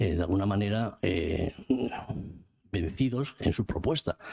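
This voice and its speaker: The man's pitch sits fairly low. His voice has a dark, mellow tone. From Spain, Vitoria (Basque Country). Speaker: book author. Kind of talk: book presentation talk. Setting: cultural centre event with audience. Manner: halting, many repetitions.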